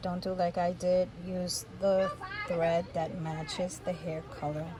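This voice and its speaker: A soft-spoken woman at medium pitch and a fairly slow pace, with fairly even intonation, audible room echo and noticeable background noise. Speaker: doll maker. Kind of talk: tutorial.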